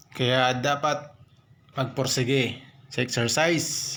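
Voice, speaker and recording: Noticeable background noise mixed with audible room echo. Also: man. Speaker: stroke survivor vlogger. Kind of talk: motivational vlog narration during exercise.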